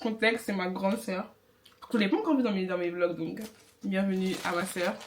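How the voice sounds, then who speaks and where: The delivery has ordinary pitch variation and a moderate pace, with noticeable background noise behind it. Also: woman, medium pitch for a woman. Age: 20s. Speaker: beginner YouTuber, vlogger. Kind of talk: casual chat, mukbang vlog.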